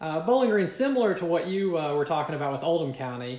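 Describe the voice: With a Kentucky accent, a man speaks fast in a fairly high, slightly mellow voice, his pitch swinging a lot amid audible room echo. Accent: Kentucky Southern American.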